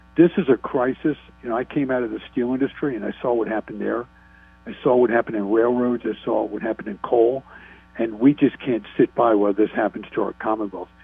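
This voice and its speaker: Music plays behind a man talking at a very fast pace. His medium-pitched voice keeps a fairly even intonation. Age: 60s. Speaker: state politician. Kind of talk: radio interview.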